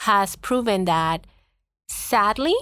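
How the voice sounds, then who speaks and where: A woman speaks with a Spanish accent and lively intonation. The recording is very clean, with a silent background. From Puerto Rico. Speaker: school district administrator. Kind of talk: interview.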